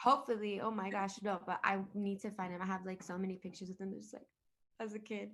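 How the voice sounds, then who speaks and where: A woman speaks very fast in a monotone, with flat intonation. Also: medium pitch for a woman. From Miami. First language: Spanish. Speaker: singer-songwriter. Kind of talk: interview. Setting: video call. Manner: casual, code-switching Spanglish.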